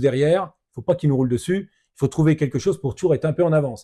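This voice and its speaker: Very fast and somewhat breathy, this dark, mellow voice has ordinary pitch variation on a very clean recording with a silent background. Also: man. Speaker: ultra-trail runner, adventurer. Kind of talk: podcast conversation.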